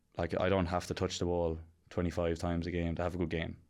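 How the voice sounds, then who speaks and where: Very deep, low-pitched man with an Irish accent, monotone, flat intonation, quiet background. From County Kilkenny, Ireland. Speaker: professional Australian rules football player. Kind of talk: podcast interview answer. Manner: casual.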